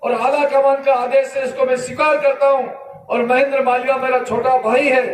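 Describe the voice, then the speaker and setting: Noticeable background noise surrounds a man whose pitch is extremely high. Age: 60s. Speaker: politician. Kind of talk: political speech.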